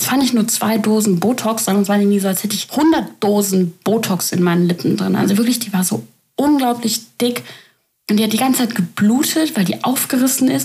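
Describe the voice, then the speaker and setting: Fairly quick in pace, a woman speaks with a fairly high pitch and lively intonation. Her voice is somewhat breathy, with a dark, mellow tone. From Germany. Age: 20s. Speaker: podcaster. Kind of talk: casual monologue.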